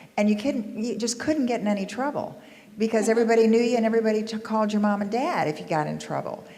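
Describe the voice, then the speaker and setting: A woman's fairly high voice in an American accent, with audible room echo. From US South. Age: 60s. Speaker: panelist sharing local history. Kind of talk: panel discussion recollections.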